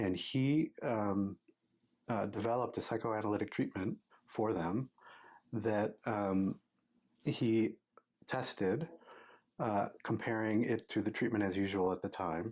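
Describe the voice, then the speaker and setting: A man with a fairly low pitch and very even loudness speaks fairly slowly, with long, frequent pauses, on a very clean recording with a silent background. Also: ordinary pitch variation. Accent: Midwestern American. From US Midwest, Michigan. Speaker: psychology professor and researcher. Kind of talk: interview. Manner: halting, many fillers.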